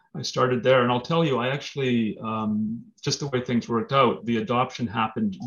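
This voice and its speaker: At a moderate pace, a man talks in an ordinary speaking voice at a medium pitch. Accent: Canadian. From Manitoba, Canada (Brandon). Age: 50s. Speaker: lawyer and political candidate. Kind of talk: interview.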